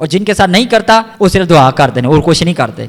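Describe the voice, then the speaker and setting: The speaker is a man with a high pitch. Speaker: pastor. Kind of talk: sermon preaching in Urdu-Hindi.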